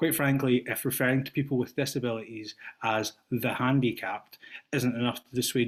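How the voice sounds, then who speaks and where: A man with a Scottish accent talks in a monotone, flat intonation. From Scotland. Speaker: teacher, public commenter. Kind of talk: public comment at board meeting. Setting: video call.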